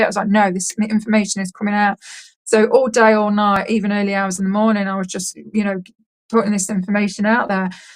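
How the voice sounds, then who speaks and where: A woman speaks in an English accent with a monotone, flat intonation. Her voice is somewhat breathy. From England. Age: 30s. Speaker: contact experiencer. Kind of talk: interview testimony. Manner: fast.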